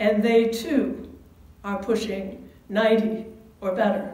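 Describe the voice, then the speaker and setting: A woman speaks very slowly, with audible room echo. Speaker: pastor. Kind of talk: sermon. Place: church. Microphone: camera far.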